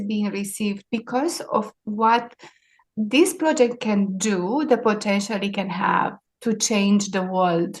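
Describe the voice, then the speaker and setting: Very slowly and somewhat breathily, a woman speaks with a Romanian accent at a fairly high pitch, her pitch varying in an ordinary way. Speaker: maritime sustainability leader. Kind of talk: interview.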